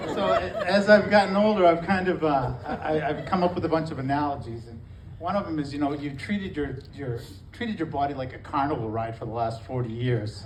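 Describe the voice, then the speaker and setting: In a recording with audible room echo and noticeable background noise, a man talks at a fairly quick pace in a fairly high voice with very wide pitch swings. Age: 60s. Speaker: stand-up comedian. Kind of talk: stand-up. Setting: stage with audience. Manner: halting.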